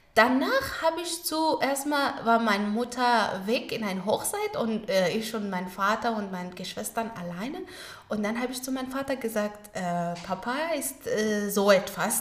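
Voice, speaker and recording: This woman speaks fairly slowly in a fairly high voice with lively intonation. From Afghanistan, Kabul. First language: Pashto and Dari (speaking German). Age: 20s. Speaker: au pair and former journalist. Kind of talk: interview. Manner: halting.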